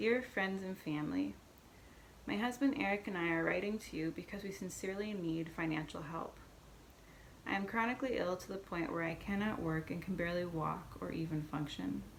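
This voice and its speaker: A woman's fairly low voice at a fairly quick pace with ordinary pitch variation, noticeable background noise and audible room echo. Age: 30s. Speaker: person sharing health story. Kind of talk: reading aloud. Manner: halting.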